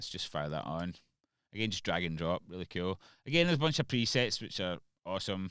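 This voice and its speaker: A man with a very deep, low pitch talks at a very fast pace with lively intonation, the sound dry with no echo and the background quiet. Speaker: music producer. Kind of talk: tutorial. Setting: home studio.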